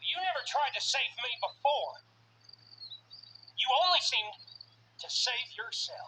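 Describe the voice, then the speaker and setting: In a high-pitched, female-sounding put-on character voice, the speaker goes at a fairly slow pace with long, frequent pauses. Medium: video game. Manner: sneering, laughing derisively.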